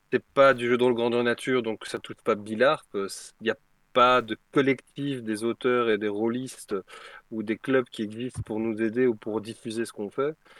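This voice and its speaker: The man's medium-pitched voice stays monotone and flat at a moderate pace, with a dry, close sound and no echo. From Belgium. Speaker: tabletop role-playing game designer. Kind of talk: casual chat.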